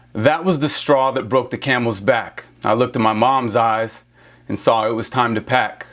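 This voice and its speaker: A plain, everyday voice from a man, medium-pitched, with fairly even intonation at a moderate pace. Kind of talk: spoken word poetry.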